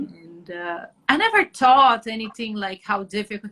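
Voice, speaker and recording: Here is a woman with a Brazilian Portuguese accent. Her tone is bright and sharp, and her pitch is fairly high. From Brazil, Atibaia area. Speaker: journalist, photographer and actress. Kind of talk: interview. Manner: halting.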